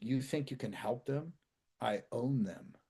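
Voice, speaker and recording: Putting on a gravelly character voice, a man speaks at a fairly slow pace. His medium pitch carries lively intonation. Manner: menacing.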